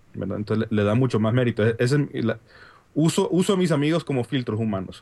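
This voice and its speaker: A man speaks in a medium-pitched voice with a Honduran accent. His pitch moves up and down in an ordinary way. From Honduras. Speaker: app developer and consultant. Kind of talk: casual chat. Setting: video call.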